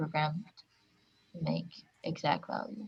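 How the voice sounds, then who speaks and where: A woman speaks at a moderate pace with a non-native accent, her voice fairly low-pitched and somewhat breathy. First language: not English. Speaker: workshop participant. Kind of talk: workshop discussion.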